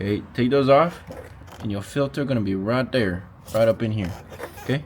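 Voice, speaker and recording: Medium-pitched male speech with ordinary pitch variation, a moderate pace, and noticeable background noise. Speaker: car enthusiast YouTuber. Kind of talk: casual DIY car tutorial. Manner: casual, filler-heavy.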